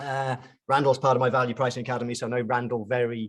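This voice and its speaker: A man with a British accent rattles through his words at a very fast pace. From UK. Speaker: chartered accountant and pricing consultant. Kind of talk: webinar presentation. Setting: online webinar. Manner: casual, hesitant with fillers.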